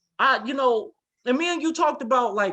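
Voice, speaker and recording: Raised and projected, a man's voice comes through with a bright, sharp, animated tone at a moderate pace, in a dry, close sound with no echo. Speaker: podcast host. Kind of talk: casual chat.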